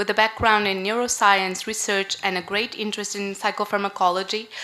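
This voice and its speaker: A woman with a strong northern Portuguese accent talks at a fairly quick pace in a medium pitch, her intonation monotone and flat. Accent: strong Porto. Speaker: conference moderator. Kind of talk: conference moderation.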